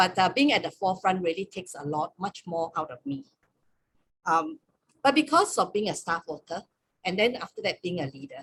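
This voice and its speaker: A woman with an ordinary speaking voice talks at a moderate pace in a medium pitch, with lively intonation. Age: 60s. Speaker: campus ministry staff leader. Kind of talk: webinar sharing.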